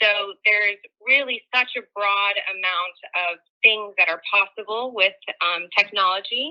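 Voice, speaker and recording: A plain, everyday voice with an American accent. It moves at a fairly slow pace with ordinary pitch variation. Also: woman, medium pitch for a woman. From US, San Francisco, California. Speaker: tech company engineer, guest speaker. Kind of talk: online presentation. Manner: casual, filler-heavy.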